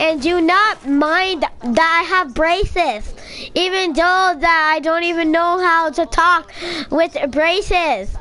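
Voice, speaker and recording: Amid clear background noise, a woman speaks in a put-on, whiny character voice at an extremely high pitch and a fairly slow pace. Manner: dumb, whiny.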